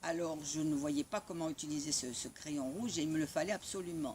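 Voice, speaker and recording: Her pitch is very deep and low. The woman talks at a moderate pace. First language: Italian (speaking French). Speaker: spiritual community member sharing memories. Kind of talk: personal storytelling. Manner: halting.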